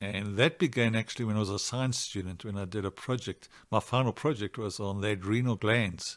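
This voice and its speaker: A man with a normal speaking voice and a fairly low pitch talks at a fairly quick pace with ordinary pitch variation and hardly any pauses. The recording is very clean, with a silent background. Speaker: psychiatrist. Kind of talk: interview.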